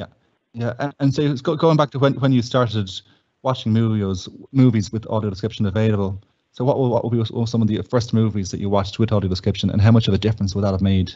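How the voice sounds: A man talks fast at a fairly low pitch, his tone dark and mellow and his intonation fairly even.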